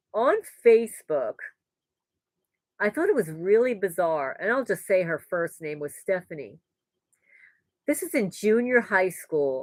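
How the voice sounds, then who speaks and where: A woman speaks with a New York accent. The recording is very clean with a silent background, and the sound is dry and close with no echo. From New York, the Bronx. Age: 60s. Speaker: homesteading vlogger. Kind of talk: live stream Q&A chat.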